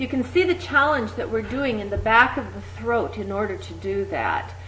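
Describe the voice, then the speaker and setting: There is noticeable background noise. Through it, a woman talks at a moderate pace. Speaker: exercise instructor. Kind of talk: voice exercise instruction. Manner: over-articulated.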